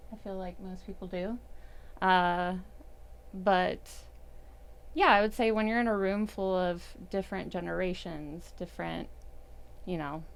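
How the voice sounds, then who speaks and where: A soft-spoken woman talks at a fairly slow pace with fairly even intonation and long, frequent pauses. Her loudness swings widely, and the room echo is audible. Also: medium pitch for a woman. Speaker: CrossFit coach. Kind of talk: casual chat.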